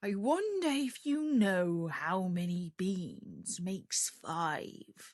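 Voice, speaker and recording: A woman's put-on character voice at medium pitch, very slow in pace with hardly any pauses and lively intonation. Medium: read story. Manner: sly, coaxing.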